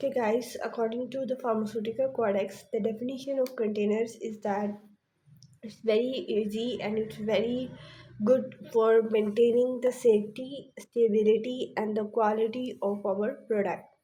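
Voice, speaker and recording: Somewhat breathy and dark, mellow in tone, a woman's fairly high-pitched voice stays monotone, with flat intonation. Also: moderate pace. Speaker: pharmacy lecturer. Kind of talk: lecture.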